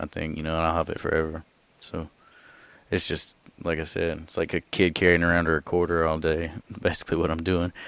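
A man with a very deep, low pitch and a Southern US accent, fairly quick pace, monotone, flat intonation, and long, frequent pauses. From US South. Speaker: comedian. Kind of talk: casual chat.

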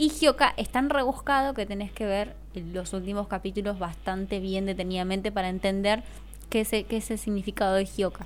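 A woman talks in a plain, everyday voice at medium pitch. Her pace is moderate and her pitch varies in an ordinary way. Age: 20s. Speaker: influencer and model. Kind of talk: casual chat.

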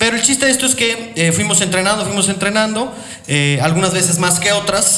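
A man with a high pitch and ordinary pitch variation speaks in a raised, projected voice at a fairly quick pace and very even loudness. Audible room echo and noticeable background noise fill the recording. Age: 30s. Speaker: boxing radio host. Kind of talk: casual chat.

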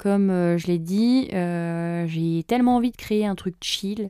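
A woman at a fairly slow pace, medium pitch and ordinary pitch variation, in a dry, close sound with no echo. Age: 20s. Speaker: podcaster and YouTuber. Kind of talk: casual solo monologue. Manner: hesitant with many fillers.

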